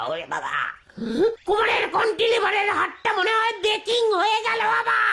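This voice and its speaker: In a put-on character voice, a woman talks at a moderate pace with extremely high pitch and fairly even intonation. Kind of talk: slapstick village comedy. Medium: comedy sketch. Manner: comic overacting, blustering.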